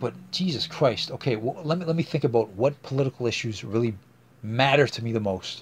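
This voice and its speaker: A somewhat breathy man with a medium pitch talks at a fairly quick pace with ordinary pitch variation. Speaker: podcast host. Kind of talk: casual solo podcast monologue. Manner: halting, many fillers.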